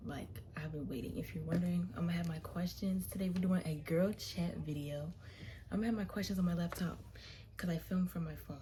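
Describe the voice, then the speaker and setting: Soft-spoken, a woman talks at a fairly quick pace with audible room echo. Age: young. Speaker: college student vlogger. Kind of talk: casual chat. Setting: dorm room.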